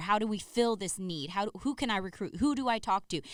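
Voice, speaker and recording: The recording is very clean, with a silent background. A woman with an American accent speaks at a moderate pace with ordinary pitch variation. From US mainland, family from Saipan. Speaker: podcast co-host. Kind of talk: casual conversational podcast.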